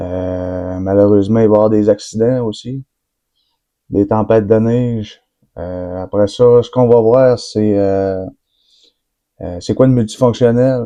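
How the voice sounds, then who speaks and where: This man speaks with a Quebec accent at a fairly slow pace. His pitch is fairly low, and his pauses are long and frequent. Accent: Québécois French. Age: 20s. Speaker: forestry worker. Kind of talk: casual vlog introduction. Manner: hesitant, many fillers.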